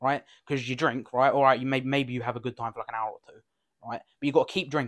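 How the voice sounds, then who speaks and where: Talking at a very fast pace with fairly even intonation, a man shows big swings in loudness in a dry, close sound with no echo. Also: medium pitch for a man. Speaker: podcast co-host. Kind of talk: casual chat.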